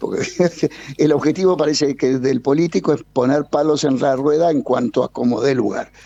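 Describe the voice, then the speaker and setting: Speaking at a fairly quick pace, a man with a fairly high pitch and a dark, mellow tone is heard in a dry, close sound with no echo. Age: 60s. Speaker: energy consultant. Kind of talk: radio interview. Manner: animated.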